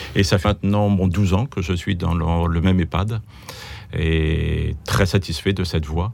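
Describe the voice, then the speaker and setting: Over noticeable background noise, a man talks fairly slowly in a very deep, low voice. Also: fairly even intonation. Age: 60s. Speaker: geriatric doctor. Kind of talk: interview. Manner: halting, repeats words.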